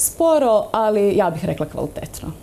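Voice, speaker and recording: A woman speaks with a dark, mellow tone at a moderate pace. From Bosnia and Herzegovina. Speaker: dance instructor. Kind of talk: TV interview. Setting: studio. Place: studio.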